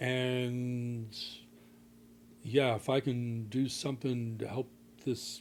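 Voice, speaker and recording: A man with an American accent and a monotone, flat intonation. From US Northeast (Philadelphia). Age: 70s. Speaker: potter, scientist and environmental advocate. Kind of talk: casual chat.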